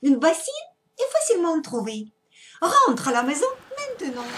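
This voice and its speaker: In a put-on character voice, a soft-spoken woman with an extremely high pitch and very wide pitch swings speaks at a moderate pace. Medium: read story. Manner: gentle, soothing.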